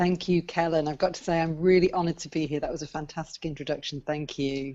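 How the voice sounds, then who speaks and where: A woman with a British accent, very deep, low pitch, monotone, flat intonation and a very fast pace. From UK. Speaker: business coach and book coach. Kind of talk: interview.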